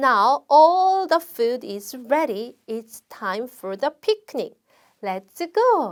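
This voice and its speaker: Speaking at a very slow pace, a woman uses a high pitch, very wide pitch swings, and big swings in loudness. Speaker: children's English teacher. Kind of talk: storybook reading lesson for children. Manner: animated.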